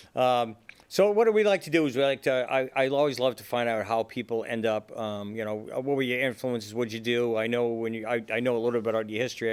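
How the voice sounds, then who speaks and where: A man with a Boston accent races along at a very fast pace in a medium pitch with fairly even intonation, on a very clean recording with a silent background. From Boston area. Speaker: podcast host, interviewer. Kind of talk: casual interview.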